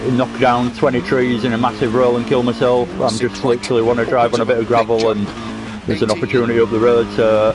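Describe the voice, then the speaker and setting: Over music in the background, a man with a Yorkshire accent talks at a fairly quick pace with fairly even intonation. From Yorkshire, northern England. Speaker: sim racing gamer streamer. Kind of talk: casual gameplay commentary. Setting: home, playing a game. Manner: halting, full of fillers.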